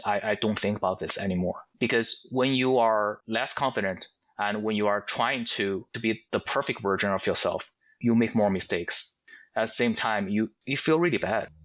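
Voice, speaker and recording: With a strong non-native accent, a man talks at a moderate pace in a fairly low voice with fairly even intonation. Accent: heavy foreign. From Asia. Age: 40s. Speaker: podcast guest. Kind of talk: casual interview chat. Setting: audio-only podcast. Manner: halting, repeats words.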